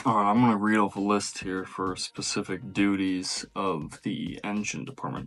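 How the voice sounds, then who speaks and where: A man's normal speaking voice, fairly low in pitch with ordinary pitch variation, at a moderate pace with hardly any pauses. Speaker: merchant mariner, deck department. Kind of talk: reading aloud a list; casual vlog talk.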